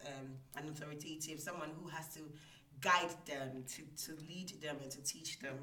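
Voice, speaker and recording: Over noticeable background noise, a woman with a very deep, low voice talks at a moderate pace with fairly even intonation. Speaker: IT support manager and reading nonprofit founder. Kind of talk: personal testimony in interview.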